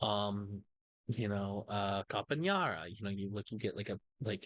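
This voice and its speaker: In an American accent, a man with an ordinary speaking voice and fairly low pitch talks at a fairly slow pace, the sound dry and close with no echo over a quiet background. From United States. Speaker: commentary YouTuber. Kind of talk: reaction commentary. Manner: casual, many fillers.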